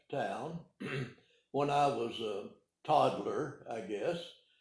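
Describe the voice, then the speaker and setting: At a very slow pace, a speaker with an American accent talks with vocal fry amid audible room echo. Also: man. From Arkansas (Calico Rock, Ozarks). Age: 80s+. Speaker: retired pharmacist. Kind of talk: oral history interview. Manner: halting, many hesitations.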